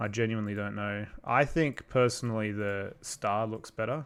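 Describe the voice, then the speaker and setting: A moderate pace in an Australian accent, on a very clean recording with a silent background. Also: man. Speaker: YouTube creator doing visual effects for stop-motion videos. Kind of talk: livestream chat reading viewer comments. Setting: livestream at computer. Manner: casual, hesitant with fillers.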